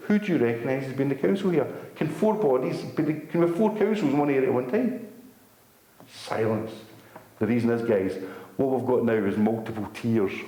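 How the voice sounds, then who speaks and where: A medium-pitched man at a fairly quick pace, with very wide pitch swings, long, frequent pauses and audible room echo. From Scotland. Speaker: activist speaker. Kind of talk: public talk to an audience. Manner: fast; animated.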